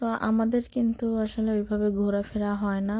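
A woman speaks at a medium pitch with a dark, mellow tone. Her voice is somewhat breathy and her intonation is monotone and flat. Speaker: vlogger. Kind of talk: voice-over narration of travel vlog.

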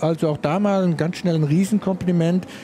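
A man with a high voice and ordinary pitch variation is heard over noticeable background noise. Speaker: motorsport commentator. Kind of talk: live commentary.

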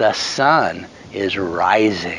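The sound is dry, with no echo. A man talks over light background noise. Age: 60s. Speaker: devotional speaker. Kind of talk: devotional talk to camera. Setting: outdoors. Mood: hopeful, earnest. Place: open country. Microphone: phone near.

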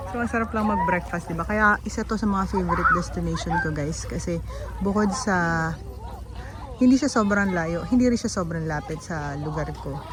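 Audible room echo and noticeable background noise around a woman's moderately paced voice. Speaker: motorcycle vlogger. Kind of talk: casual vlog narration. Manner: animated.

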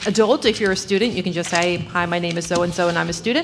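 A woman speaks with ordinary pitch variation. There is noticeable background noise. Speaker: board of education meeting chair. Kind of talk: meeting chairing. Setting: school board meeting. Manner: fast.

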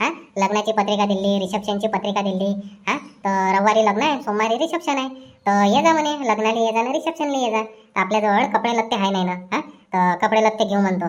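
A woman puts on a cartoonish character voice with a fairly high pitch. She talks at a fairly quick pace. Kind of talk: cartoon comedy dialogue. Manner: talkative, persistent.

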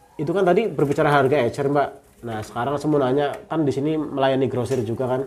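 Over light background noise, a man talks with hardly any pauses and ordinary pitch variation. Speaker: bird market reviewer / YouTuber. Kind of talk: street seller price haggling, shop-visit review chat. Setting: outdoors at a bird stall. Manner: fast, chatty, rapid-fire price questions; friendly, upbeat, polite. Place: shop.

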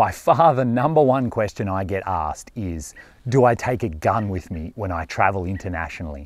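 A man's voice, dry and free of echo, moves along at a moderate pace. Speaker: overland travel vlogger. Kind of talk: casual vlog chat. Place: forest. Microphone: lapel.

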